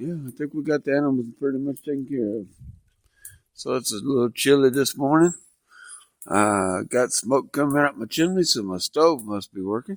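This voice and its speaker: A man speaks at a moderate pace in a fairly high pitch. His intonation is lively, and the sound is dry and close with no echo. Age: 60s. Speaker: homesteader vlogger. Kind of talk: casual vlog monologue.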